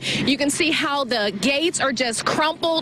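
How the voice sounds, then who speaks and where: Noticeable background noise beneath a voice with ordinary pitch variation. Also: woman. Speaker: TV news reporter. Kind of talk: live TV news report. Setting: outdoors.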